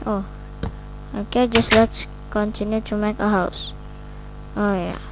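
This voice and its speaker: With a non-native accent, a woman talks at a fairly slow pace amid noticeable background noise. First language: not English. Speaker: gaming video creator. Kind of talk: casual gameplay commentary.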